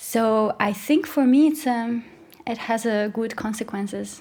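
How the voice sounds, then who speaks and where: With a Russian accent, a woman speaks at a moderate pace in a fairly high, somewhat breathy voice with ordinary pitch variation. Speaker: flautist and podcaster. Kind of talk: podcast conversation.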